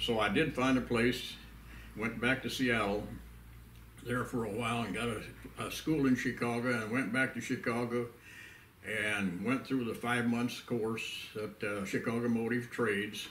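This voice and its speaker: With a Pennsylvania accent, a man speaks fairly slowly at a medium pitch with fairly even intonation and long, frequent pauses, amid audible room echo and noticeable background noise. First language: Pennsylvania Dutch. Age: 90s. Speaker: elderly pioneer / WWII veteran. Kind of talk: oral history interview. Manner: halting, many fillers.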